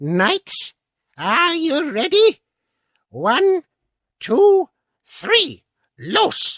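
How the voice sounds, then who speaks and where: In a squeaky put-on character voice at an extremely high pitch, the speaker goes at a very slow pace with long, frequent pauses. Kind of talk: mock-heroic archaic speech. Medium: read story.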